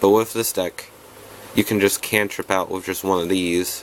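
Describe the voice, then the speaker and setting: The man speaks at a moderate pace. His intonation is monotone and flat. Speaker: card game content creator. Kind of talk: tutorial. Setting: home recording, no proper setup. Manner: casual, halting with restarts.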